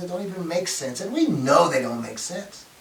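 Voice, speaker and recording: A man's animated voice at a fairly quick pace, with noticeable background noise. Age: 60s. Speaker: video essayist, science and faith commentator. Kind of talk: solo talk to camera. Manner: repetitive stammering restarts.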